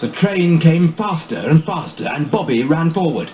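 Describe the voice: Speech at a moderate pace carries lively intonation, with audible room echo around it.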